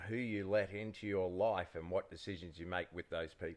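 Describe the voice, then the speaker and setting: A man with an Australian accent speaks at a fairly low pitch. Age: 50s. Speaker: former pro surfer, podcast co-host. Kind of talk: casual chat.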